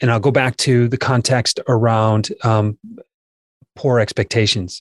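A man talks in a somewhat breathy voice. The sound is dry and close, with no echo. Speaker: sales trainer. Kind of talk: casual chat.

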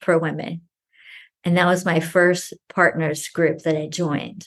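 A woman speaks in a fairly low voice. Her pace is fairly slow. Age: 40s. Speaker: betrayal trauma specialist. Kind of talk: casual chat.

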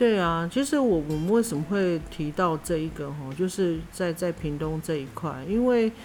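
Using an ordinary speaking voice, a woman talks with a fairly low pitch at a moderate pace. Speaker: podcast co-host. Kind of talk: casual chat.

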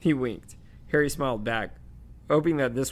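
Text is being read aloud here in a natural voice.

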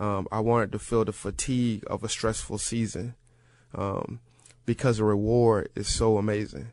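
Moderate pace, man's fairly low voice. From US South, rural Florida. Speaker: football personnel director, former player. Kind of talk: radio interview. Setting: studio. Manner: emotional, enthusiastic.

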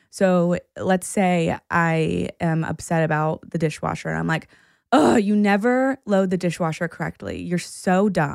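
A normal speaking voice from a woman, fairly low in pitch, at a fairly slow pace, in a very clean recording with a silent background. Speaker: therapist. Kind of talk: casual chat.

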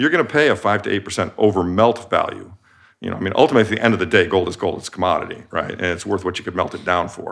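Speaking very fast with lively intonation, a man with a fairly low pitch talks in an American accent. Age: 60s. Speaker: investment manager. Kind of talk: interview.

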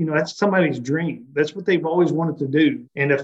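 A man's voice with ordinary pitch variation. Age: 50s. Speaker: chamber of commerce president and economic developer. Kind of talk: interview.

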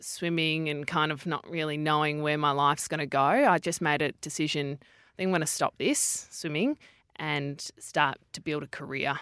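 A woman with an Australian accent speaks at a very deep, low pitch in a bright, sharp tone and a flat, monotone delivery. The sound is dry and close with no echo, on a very clean recording with a silent background. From Western Australia (Perth). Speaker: sports TV presenter. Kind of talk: interview. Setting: studio.

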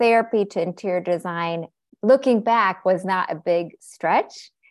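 Heard in a very clean recording with a silent background, a woman speaks very slowly with ordinary pitch variation. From US Pacific Northwest, Seattle. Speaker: therapist and interior designer. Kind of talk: podcast interview.

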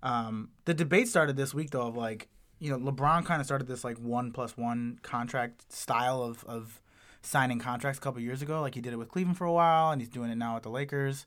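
A man at a fairly quick pace with medium pitch and ordinary pitch variation, a normal speaking voice on a very clean recording with a silent background. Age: 30s. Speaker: podcast host and stand-up comedian. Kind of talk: casual chat.

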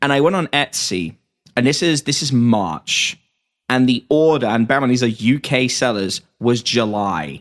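Recorded very cleanly against a silent background, the dry, close voice with no echo has lively intonation, a moderate pace and an English accent. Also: man, medium pitch for a man. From England. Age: 20s. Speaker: podcast host. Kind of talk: casual interview chat.

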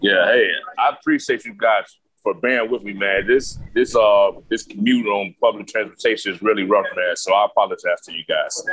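The speech moves at a moderate pace with big swings in loudness. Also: man. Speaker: former inmate and program graduate. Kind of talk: testimony.

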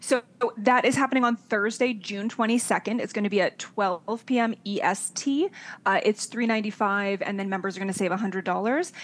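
Here a woman talks in a plain, everyday voice at a fairly quick pace. Her pitch is fairly high, with ordinary variation. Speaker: show team member. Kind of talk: casual chat.

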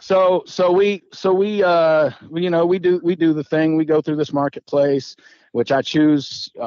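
A man with an American accent and an unremarkable speaking voice, fairly high in pitch, with ordinary pitch variation at a fairly slow pace. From Texas Panhandle. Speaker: Marine veteran. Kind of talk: casual interview chat.

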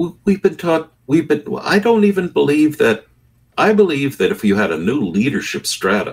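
His fairly high voice carries vocal fry and very wide pitch swings. The man keeps a moderate pace. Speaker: Episcopal priest. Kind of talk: heated debate. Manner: animated.

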